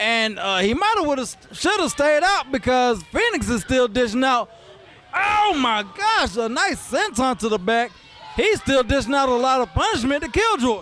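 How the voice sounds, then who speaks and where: Over noticeable background noise, a man talks in an excited tone at an extremely high pitch with very wide pitch swings. His pace is moderate and his loudness very even. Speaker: wrestling commentator. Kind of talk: live play-by-play commentary. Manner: excited, casual.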